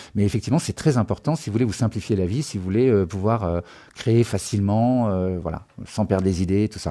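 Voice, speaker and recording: Here a man speaks at a fairly quick pace. His voice is fairly low, with a dark, mellow tone. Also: ordinary pitch variation. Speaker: music production trainer. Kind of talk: live-streamed tutorial. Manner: fast; hesitant, many fillers.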